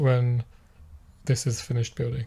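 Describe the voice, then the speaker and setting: A man at a medium pitch speaks at a moderate pace, his dark, mellow tone somewhat breathy. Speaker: programmer. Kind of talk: casual screen-recorded coding session. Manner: slurring words; halting, many fillers.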